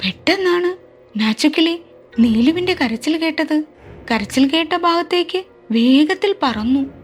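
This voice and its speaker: A woman's extremely high voice with lively intonation and very even loudness, over background music. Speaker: storyteller. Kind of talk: children's story narration.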